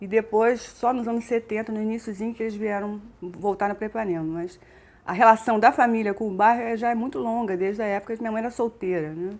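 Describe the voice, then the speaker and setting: At a very fast pace, a woman with a Rio de Janeiro accent speaks at a fairly high pitch with fairly even intonation. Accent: Carioca Brazilian Portuguese. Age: 50s. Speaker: businesswoman. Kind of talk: interview answer.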